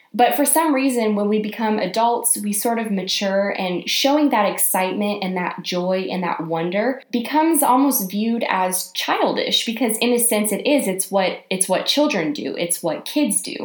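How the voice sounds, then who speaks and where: Over noticeable background noise, a woman with a fairly high pitch talks in an animated tone with lively intonation at a moderate pace, hardly pausing at all. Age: 20s. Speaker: podcast host, YA author and YouTuber. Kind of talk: solo motivational podcast monologue.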